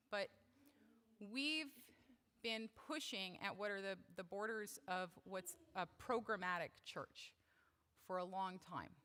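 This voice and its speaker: A loud woman with a bright, sharp tone, medium pitch and ordinary pitch variation, at a fairly slow pace with long, frequent pauses. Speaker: church member speaking at service. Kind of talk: talk at worship service. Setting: church service. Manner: casual, with fillers.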